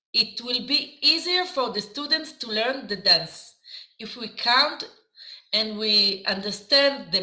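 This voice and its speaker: With an Israeli accent, a woman speaks very slowly in a fairly high voice, her intonation lively. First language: Hebrew. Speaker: dance teacher. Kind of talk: lecture. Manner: halting.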